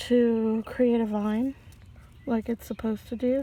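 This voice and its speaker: A woman speaks fairly slowly in a fairly high voice. Her tone is dark, mellow and relaxed. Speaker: home gardener vlogger. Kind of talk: casual walkthrough narration. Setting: outdoors on patio. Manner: relaxed, hesitant with fillers; soft-spoken, quiet.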